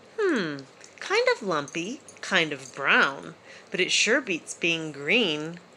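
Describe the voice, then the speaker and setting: A put-on character voice, female-sounding, at a middle pitch and a very slow pace. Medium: read story. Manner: eager, energetic.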